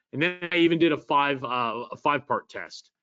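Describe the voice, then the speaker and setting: This man has an ordinary speaking voice with a fairly high pitch. He talks at a moderate pace with ordinary pitch variation. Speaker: marketing presenter. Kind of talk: live webinar presentation.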